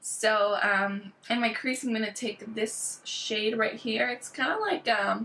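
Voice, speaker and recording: Fairly high female pitch, a very slow pace with hardly any pauses, fairly even intonation and noticeable background noise. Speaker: beauty vlogger. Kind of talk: makeup tutorial.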